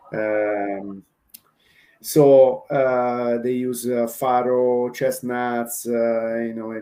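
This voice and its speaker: A man's medium-pitched voice with an Italian accent and fairly even intonation. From Italy. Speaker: chef. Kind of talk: casual chat. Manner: halting, many fillers.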